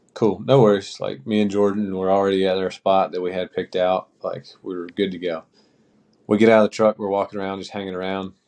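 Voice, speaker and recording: A fairly low-pitched man with a North Carolina accent, very fast and monotone, with big swings in loudness. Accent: US Southern (North Carolina). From small-town North Carolina. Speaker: podcast co-host and hunting guide. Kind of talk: casual chat.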